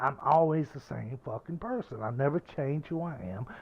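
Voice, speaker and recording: Lively in intonation and animated in tone, a man talks with a Southern US accent. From US South. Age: 50s. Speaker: gaming streamer. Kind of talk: casual chat.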